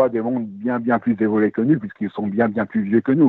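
A man speaks at a very fast pace in a medium pitch, his intonation fairly even. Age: 70s. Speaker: caller, retired airline sales director. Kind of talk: call-in testimony.

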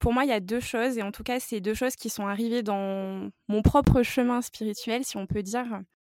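A woman with a plain, everyday voice, fairly high pitch, fairly even intonation and hardly any pauses. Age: 20s. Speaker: natural health advisor. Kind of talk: interview.

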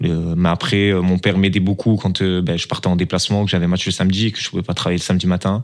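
A man's very deep, low voice in a monotone, flat delivery, very fast with hardly any pauses. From southern France, Toulon. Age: 20s. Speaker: professional footballer. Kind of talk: interview.

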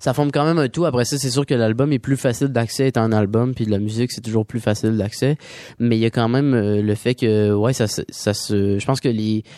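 A man with a dark, mellow tone speaks at a fairly quick pace with fairly even intonation, in a dry, close sound with no echo. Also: medium pitch for a man. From Quebec. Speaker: singer-songwriter. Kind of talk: radio interview. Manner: halting.

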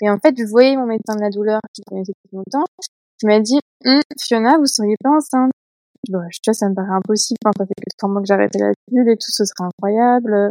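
A woman speaks at a fairly quick pace with a fairly high pitch and a dark, mellow tone. Her pitch varies in an ordinary way, her loudness swings widely, and the sound is dry and close with no echo. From eastern France. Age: 20s. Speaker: patient with endometriosis. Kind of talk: casual interview.

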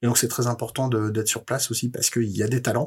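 This man's voice sits at a medium pitch. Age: 40s. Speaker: head of recruitment at a video game startup. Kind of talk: interview. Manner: halting, repeated words.

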